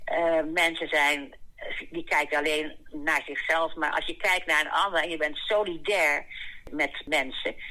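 With a bright, sharp tone and a very deep, low pitch, a woman speaks at a very slow pace. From The Hague, Netherlands. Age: 80s. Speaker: elderly book participant. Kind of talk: interview. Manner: halting.

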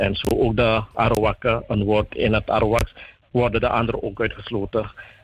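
The man has an ordinary speaking voice. He talks at a medium pitch and a moderate pace. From Suriname. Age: young. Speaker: youth group spokesperson. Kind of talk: radio interview.

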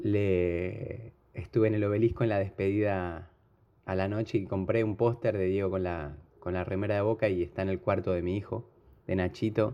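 A man's fairly low voice with fairly even intonation and a Rioplatense accent. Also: moderate pace. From Argentina, Buenos Aires. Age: 40s. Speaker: football fan. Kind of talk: emotional tribute. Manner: halting.

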